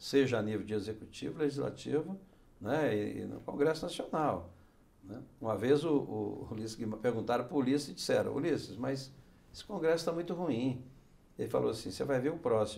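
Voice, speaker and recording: The voice has vocal fry and a dark, mellow tone. It moves at a fairly quick pace with lively intonation. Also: man. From Brasília, raised there from age 13 (born Minas Gerais). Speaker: senator. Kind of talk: interview. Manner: halting, frequent fillers and repetitions. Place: studio. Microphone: lapel.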